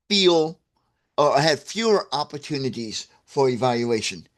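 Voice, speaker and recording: This man has an ordinary speaking voice with lively intonation. He talks at a fairly slow pace against a quiet background. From US Midwest, St. Louis, Missouri. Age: 60s. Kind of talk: livestream talk to viewers. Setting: livestream. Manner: casual, with frequent fillers and restarts.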